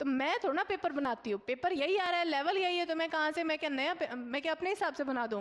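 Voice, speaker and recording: A shouting woman at a moderate pace, with lively intonation. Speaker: online exam coaching teacher. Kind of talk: live online class solving mock test questions. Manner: loud, shouting for a long time; conversational, many fillers and checks.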